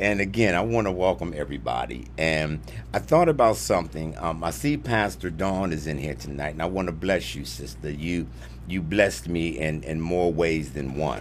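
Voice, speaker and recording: A man with a very deep, low pitch speaks against light background noise. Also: moderate pace. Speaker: preacher hosting a live stream. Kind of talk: sermon-style live stream talk. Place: studio. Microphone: studio mic.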